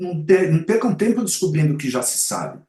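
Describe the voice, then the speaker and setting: A man is speaking. His pitch swings very widely. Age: 60s. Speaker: advertising and marketing commentator. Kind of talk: podcast interview. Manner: halting, many self-corrections.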